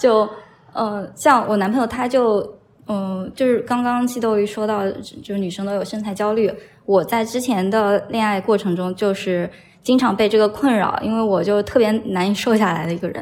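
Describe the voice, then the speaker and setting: In a plain, everyday voice, a woman talks at a moderate pace, pitched fairly high, with fairly even intonation. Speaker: podcast guest. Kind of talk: casual chat.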